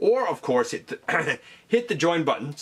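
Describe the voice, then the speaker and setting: A man does a put-on character voice that is hoarse and high-pitched, delivered at a moderate pace. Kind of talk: casual video host.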